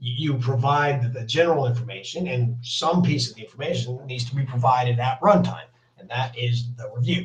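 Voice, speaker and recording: A man's somewhat breathy, medium-pitched voice at a moderate pace. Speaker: software developer demoing a framework. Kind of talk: technical demo. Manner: hesitant, many fillers.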